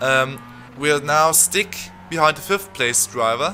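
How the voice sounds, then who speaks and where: Music plays in the background as the speaker, with a non-native accent, talks at a moderate pace. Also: man. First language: not English. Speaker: gaming youtuber. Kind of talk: live commentary. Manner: halting.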